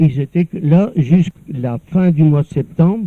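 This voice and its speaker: A man speaks with a fairly high pitch and ordinary pitch variation. His tone is dark and mellow, and the sound is dry and close with no echo. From northern France, Nord coast near Dunkirk. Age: 70s. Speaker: elderly former local resident. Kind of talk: personal reminiscence. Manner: halting, with many repeated words.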